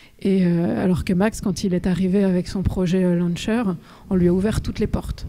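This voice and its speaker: A woman with a dark, mellow tone and a medium pitch speaks at a moderate pace, with fairly even intonation and very even loudness. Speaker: author. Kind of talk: talk with audience Q&A.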